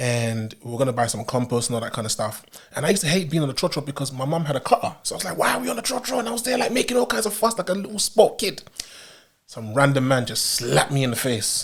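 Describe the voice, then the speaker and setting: In a London accent, a man speaks at a very fast pace with a fairly high pitch. His tone is animated, with very wide pitch swings. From UK, Ghanaian heritage. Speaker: podcast host. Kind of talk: casual chat.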